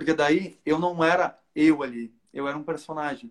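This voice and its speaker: Fairly high for a man, a normal speaking voice carries fairly even intonation throughout. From southern Brazil, Porto Alegre. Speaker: cosplayer. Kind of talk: casual chat.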